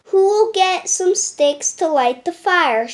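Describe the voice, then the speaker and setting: A woman puts on a squeaky character voice at an extremely high pitch, speaking very slowly. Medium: read story. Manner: patient, practical.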